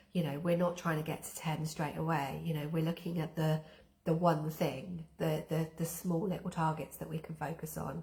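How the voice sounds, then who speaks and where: Against noticeable background noise, a woman with a very deep, low pitch speaks in a monotone, flat intonation. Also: moderate pace. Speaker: wellbeing therapist and coach. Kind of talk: live-stream coaching talk. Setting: live stream with chat.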